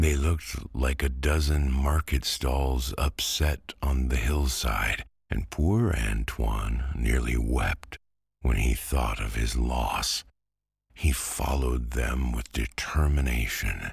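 With a very deep, low pitch, a man speaks at a fairly slow pace and with ordinary pitch variation. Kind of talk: bedtime story. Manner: slow, soothing, calm.

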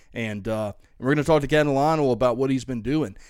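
A normal speaking voice with an American accent and ordinary pitch variation, in a very clean recording with a silent background. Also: man. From US South. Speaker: fishing podcast host. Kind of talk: casual chat.

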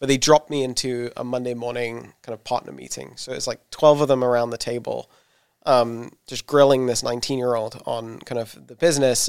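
Recorded very cleanly against a silent background, a man with a southern English accent speaks at a fairly quick pace in a monotone, flat delivery. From southern England. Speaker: startup founder and CEO. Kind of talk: interview. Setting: in-person in an office.

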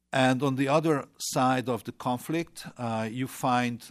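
In a Hungarian accent, a man speaks at a medium pitch with ordinary pitch variation and a fairly slow pace. The recording is very clean, with a silent background. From Hungary. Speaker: former government minister. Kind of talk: panel discussion. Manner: halting.

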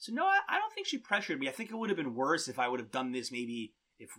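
A man speaks at a fast pace and a medium pitch, with very wide pitch swings. His tone is bright and sharp.

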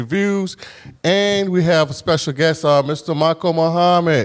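Here a man with an American accent talks in a normal speaking voice. His pitch is fairly high and his pace moderate. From Huntersville, Norfolk, Virginia. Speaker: podcast host and professor. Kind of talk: interview. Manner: casual.

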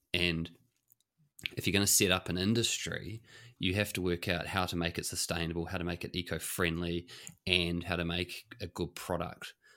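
A man speaks with a very deep, low pitch and a bright, sharp tone, at a moderate pace, with a New Zealand accent. His intonation is monotone and flat, and the recording is very clean with a silent background. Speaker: podcast co-host. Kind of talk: casual chat.

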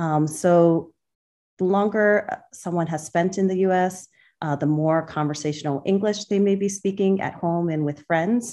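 Against a quiet background, a woman speaks at a moderate pace in a dark, mellow tone, with a fairly low pitch and fairly even intonation. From central Massachusetts, US. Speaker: obstetrician gynecologist. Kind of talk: interview. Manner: halting, many fillers.

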